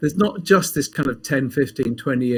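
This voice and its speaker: A man with a fairly high pitch talks with lively intonation and some vocal fry. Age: 60s. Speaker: pharmacist and health coach. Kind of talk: casual interview.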